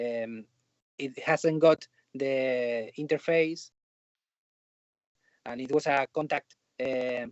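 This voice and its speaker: The speaker talks very slowly in a Spanish accent. Long pauses come often. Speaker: film and TV composer. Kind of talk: interview. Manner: halting.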